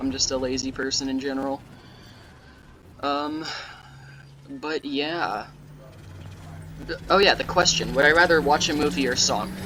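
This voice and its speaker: The speaker talks at a moderate pace with long, frequent pauses over noticeable background noise. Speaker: gaming youtuber. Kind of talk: gameplay commentary. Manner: sarcastic-sounding.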